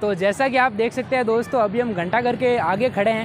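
Over light background noise, a man speaks at a moderate pace in an extremely high voice with ordinary pitch variation, the sound dry with no echo. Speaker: travel vlogger. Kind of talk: casual vlog chat. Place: market. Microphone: lapel.

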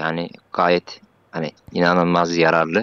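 A man is recorded with a dry, close sound with no echo against a quiet background. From Central Anatolia. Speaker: civil servant. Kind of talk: casual chat. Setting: voice chat. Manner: halting.

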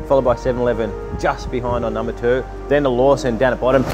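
A man's voice with clear music in the background. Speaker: food reviewer. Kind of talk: casual vlog chat. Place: street.

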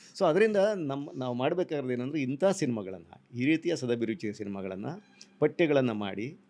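Medium-pitched male voice with very wide pitch swings. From Tumkur district, Karnataka. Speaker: interviewer. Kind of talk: interview conversation.

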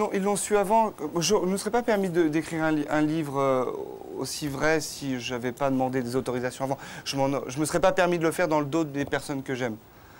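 Over light background noise, a man with a fairly high pitch speaks at a fairly quick pace with ordinary pitch variation. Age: 30s. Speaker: author of a memoir; guest. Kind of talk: TV talk show interview. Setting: outdoor TV set in Cannes. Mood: earnest, personal, emotional topic. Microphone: lapel.

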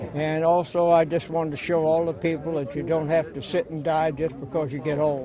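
With an American accent, a man talks at a moderate pace and with fairly even intonation, the sound dry with no echo but with noticeable background noise. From Ohio. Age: 90s. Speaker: war veteran. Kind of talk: interview answer. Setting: outdoors. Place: open country. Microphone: handheld.

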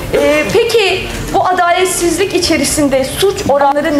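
A woman speaks at a fairly slow pace with lively intonation, over light background noise and audible room echo. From Turkey. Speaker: lawyer; speaker. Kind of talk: public speech. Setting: stage with audience. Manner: halting. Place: hall. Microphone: podium.

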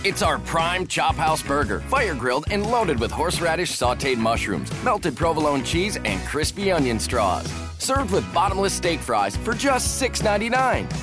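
A man speaks with hardly any pauses and very even loudness. Music plays in the background. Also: moderate pace. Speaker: voice actor. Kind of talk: TV commercial read.

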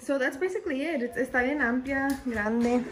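A woman talks at a fairly quick pace with a high pitch. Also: ordinary pitch variation.

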